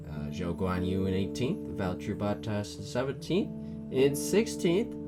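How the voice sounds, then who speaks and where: Quiet and at a fairly slow pace, a man speaks with lively intonation while music plays in the background. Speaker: F1 commentary YouTuber. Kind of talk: casual talk to camera.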